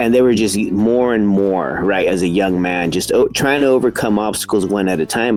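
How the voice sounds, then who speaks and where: Music plays in the background as a man with an American accent talks at a fairly quick pace in a fairly low pitch with ordinary pitch variation. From California, Salinas Valley. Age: 40s. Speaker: college counselor, podcast host. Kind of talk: casual interview. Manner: halting.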